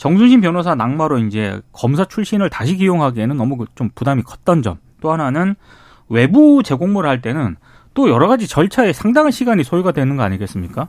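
Recorded very cleanly against a silent background, a man with a fairly high pitch talks at a fairly quick pace, his pitch swinging very widely. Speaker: journalist. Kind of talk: radio news discussion. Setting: radio studio. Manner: formal.

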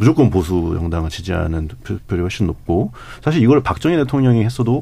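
Talking at a very fast pace, a man with a fairly low pitch makes very wide pitch swings. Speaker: newspaper reporter. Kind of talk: radio panel discussion.

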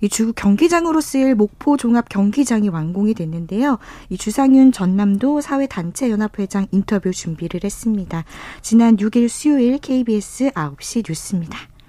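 Fairly high in pitch, a woman speaks at a moderate pace with lively intonation and a dark, mellow, somewhat breathy tone. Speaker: sports reporter. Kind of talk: radio news report.

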